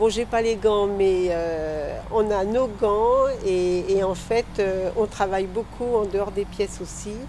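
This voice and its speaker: Very slow yet with hardly any pauses, a woman speaks at medium pitch with fairly even intonation and a dark, mellow tone. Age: old. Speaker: amateur theatre member. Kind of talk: interview.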